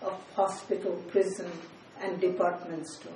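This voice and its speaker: A woman with a Bengali accent and monotone, flat intonation, plus audible room echo and noticeable background noise. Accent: Indian English (Bengali). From India, West Bengal (Kolkata). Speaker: poet and professor. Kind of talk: poetry reading.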